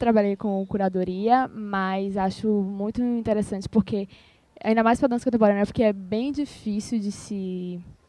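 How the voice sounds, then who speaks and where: Moving at a fairly slow pace, the speech carries a dark, mellow tone. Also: woman. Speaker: student and ballet dancer. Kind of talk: roundtable introduction. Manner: halting.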